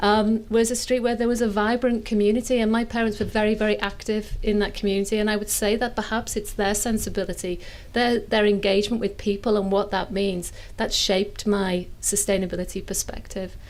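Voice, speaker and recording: In a Liverpool accent, a woman speaks at a fairly quick pace with fairly high pitch, monotone, flat intonation and very even loudness. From northern England, inner city Liverpool. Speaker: sustainable fashion academic, panelist. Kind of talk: panel discussion.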